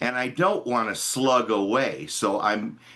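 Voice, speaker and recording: Over a quiet background, a man speaks at a very slow pace with an American accent. His tone is bright and sharp. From Chicago. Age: 70s. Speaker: musician asking a question. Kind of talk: audience Q&A. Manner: halting.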